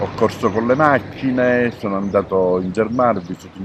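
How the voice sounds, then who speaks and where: Ordinary pitch variation and a moderate pace mark a man's speech, with noticeable background noise present. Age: 60s. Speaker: retired journalist and sailor. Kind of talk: interview. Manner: hesitant, many fillers.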